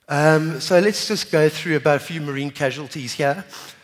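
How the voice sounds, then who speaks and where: A man talks fairly quickly with a quiet background behind him. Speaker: conference presenter. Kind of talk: conference talk. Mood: light humorous tone. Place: hall. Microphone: headset.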